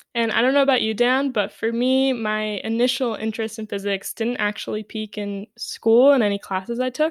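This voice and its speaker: With an American accent, a woman speaks in an unremarkable speaking voice at a moderate pace and fairly even intonation, in a dry, close sound with no echo on a very clean recording with a silent background. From New York City. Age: 20s. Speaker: physics graduate student and podcast co-host. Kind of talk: casual chat.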